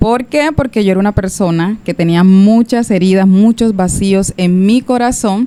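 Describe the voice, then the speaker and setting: A woman speaks at a fairly slow pace with a medium pitch and a dark, mellow tone. Her pitch varies in an ordinary way, and her loudness stays very even. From Colombia, Cartagena. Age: 30s. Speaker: church member. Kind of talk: testimony. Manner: halting.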